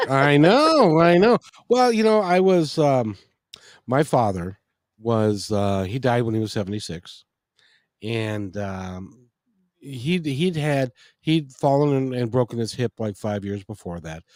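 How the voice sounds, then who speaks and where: In a very clean recording against a silent background, a man speaks fairly slowly with very wide pitch swings. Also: medium pitch for a man. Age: 60s. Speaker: talk radio host. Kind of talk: casual interview chat. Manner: halting, many restarts.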